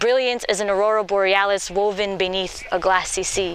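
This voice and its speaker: Noticeable background noise fills the clip. A woman talks through it. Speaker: poet. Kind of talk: slam poetry performance.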